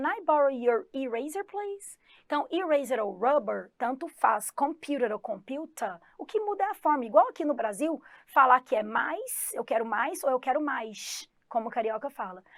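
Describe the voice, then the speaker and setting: A woman in a Goiás accent, high-pitched, at a moderate pace. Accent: Goiás accent, somewhat strong, rolled R. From Goiás, Brazil. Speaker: English teacher. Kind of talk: online exam-prep lesson. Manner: animated.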